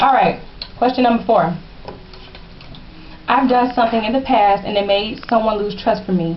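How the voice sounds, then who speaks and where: A woman at a moderate pace with long, frequent pauses and noticeable background noise. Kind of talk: casual advice talk to camera.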